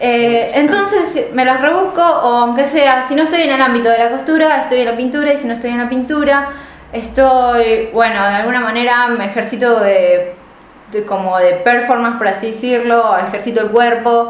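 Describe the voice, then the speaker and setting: A woman at a high pitch and moderate pace with ordinary pitch variation, amid noticeable background noise and audible room echo. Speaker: podcast co-host, art student. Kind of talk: casual chat.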